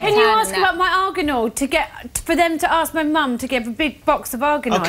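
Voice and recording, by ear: Over music in the background, a woman talks at a fairly quick pace in a high pitch with very wide pitch swings.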